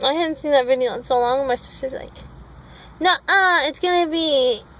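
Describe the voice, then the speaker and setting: A woman's high-pitched mumbling with ordinary pitch variation, over noticeable background noise. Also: moderate pace. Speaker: vlogger. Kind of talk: casual vlog chat. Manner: mumbles.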